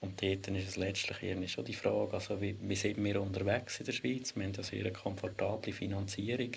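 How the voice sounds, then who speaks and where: Vocal fry runs through this man's fairly low voice as he talks with fairly even intonation and hardly any pauses. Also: fairly quick pace. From Switzerland, Lucerne. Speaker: historian and spatial planning expert. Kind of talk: casual discussion.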